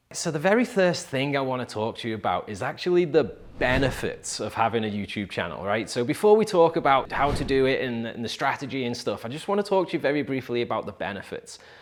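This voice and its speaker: A man with an English accent talks at a very fast clip, his pitch swinging very widely and hardly any pauses breaking his speech. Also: medium pitch for a man. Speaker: real estate agent and video marketing coach. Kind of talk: tutorial. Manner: casual, filler-heavy.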